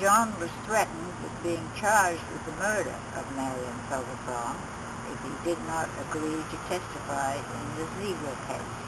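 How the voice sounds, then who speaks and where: A woman's very deep, low voice with lively intonation, amid audible room echo and noticeable background noise. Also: moderate pace. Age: 80s+. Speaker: witness, mother. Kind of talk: reading aloud. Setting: recorded interview.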